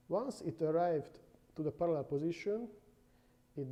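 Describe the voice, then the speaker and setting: A man with a non-native accent talks in a dark, mellow tone. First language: not English. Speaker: university lecturer. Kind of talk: lecture. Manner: halting.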